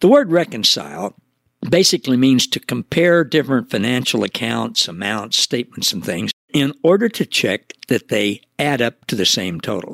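With vocal fry and very wide pitch swings, a man speaks at a moderate pace in a dry, close sound with no echo. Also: medium pitch for a man. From US Midwest, Missouri Ozarks. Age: 70s. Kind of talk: devotional teaching monologue.

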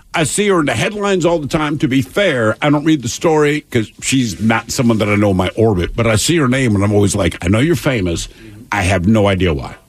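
Over noticeable background noise, a man talks very fast at a medium pitch with very wide pitch swings. His loudness stays very even. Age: 50s. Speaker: radio show co-host. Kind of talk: news reading; casual chat.

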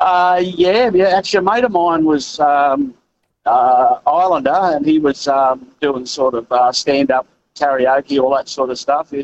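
Someone with an Australian accent talks at a fairly slow pace with ordinary pitch variation. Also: man, fairly high pitch for a man. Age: 60s. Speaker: truck driver, caller. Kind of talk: talkback call.

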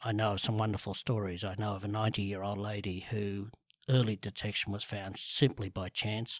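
A man's fairly low voice in an Australian accent, fairly quick and monotone, on a very clean recording with a silent background. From Sydney, Australia (eastern suburbs). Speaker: cancer awareness advocate. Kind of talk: interview.

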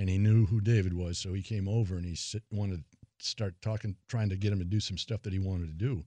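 A very fast pace and dark, mellow tone with fairly even intonation, in a dry, close sound with no echo over a quiet background. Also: man. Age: 60s. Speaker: retired strength and conditioning coach. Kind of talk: casual interview.

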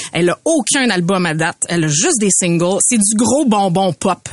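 Amid noticeable background noise, a woman speaks at a medium pitch with lively intonation, the sound dry and close with no echo. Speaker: podcast co-host. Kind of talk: casual chat.

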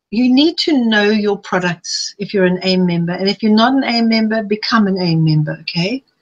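A somewhat breathy woman with a fairly high pitch, lively intonation, and a fairly quick pace, in a dry, close sound with no echo. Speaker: health coach and author. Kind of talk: webinar presentation. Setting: live online webinar. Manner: fast.

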